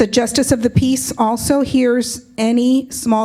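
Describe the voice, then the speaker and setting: Against noticeable background noise, a woman talks at a fairly slow pace in a fairly high voice. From Compton, California. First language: Spanish. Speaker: justice of the peace. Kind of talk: public speech.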